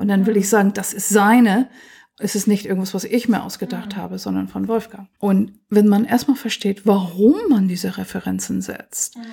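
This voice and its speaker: At a moderate pace, a woman with a dark, mellow tone speaks with vocal fry and fairly even intonation. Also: medium pitch for a woman. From US, Pennsylvania. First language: English (speaking German). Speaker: computer science professor. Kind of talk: interview.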